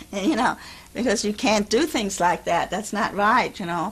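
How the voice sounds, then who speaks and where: A woman with a German accent speaks at a fairly high pitch with lively intonation. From Germany. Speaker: Holocaust refugee. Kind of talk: oral history interview. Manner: halting.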